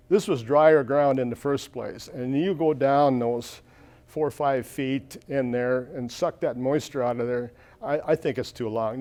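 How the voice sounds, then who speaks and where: A man speaks at a moderate pace with a dark, mellow tone. His pitch is fairly high with ordinary variation. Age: 70s. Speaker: farmer. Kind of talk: conference Q&A. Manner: halting, many repeated words.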